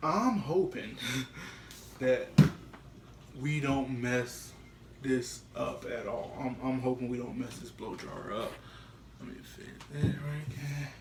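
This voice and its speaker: Very slow speech with long, frequent pauses, big swings in loudness and audible room echo. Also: man. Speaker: YouTube prankster. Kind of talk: casual vlog. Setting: at home, bathroom.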